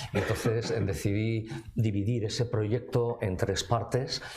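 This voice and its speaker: Noticeable noise runs behind a man whose voice sits fairly low. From Navarre, Spain. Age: 60s. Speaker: author and civil servant. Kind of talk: book presentation talk. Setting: cultural centre with live audience. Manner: formal, with frequent fillers and hesitations.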